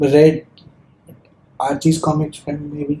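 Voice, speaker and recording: Somewhat breathy and fairly high, a man's voice has a dark, mellow tone and a non-native accent. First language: not English. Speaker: podcast host. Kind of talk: casual chat. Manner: halting.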